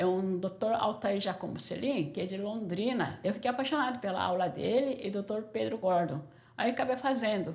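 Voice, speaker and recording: A woman at medium pitch, somewhat breathy, at a moderate pace with ordinary pitch variation and audible room echo. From Brazil, São Paulo from age 14, born Korea. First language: Korean (speaking Portuguese). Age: 60s. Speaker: doctor. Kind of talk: interview testimony.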